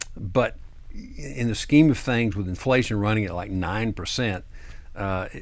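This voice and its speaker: A man speaks fairly slowly in a normal speaking voice. His pitch is fairly low with ordinary variation. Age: 60s. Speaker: tax attorney. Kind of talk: TV interview. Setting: studio.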